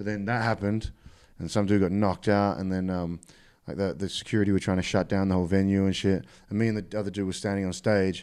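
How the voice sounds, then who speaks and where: In a very clean recording with a silent background, a man speaks at a very fast pace with an Australian accent. His fairly low voice is delivered in a monotone, flat way. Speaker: rapper. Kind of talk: casual chat. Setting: studio.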